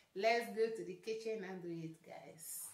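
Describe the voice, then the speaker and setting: A woman speaks at a moderate pace with ordinary pitch variation, and the room echo is audible. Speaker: vlogger. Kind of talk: casual vlog chat. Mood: mildly frustrated, then upbeat. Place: home room.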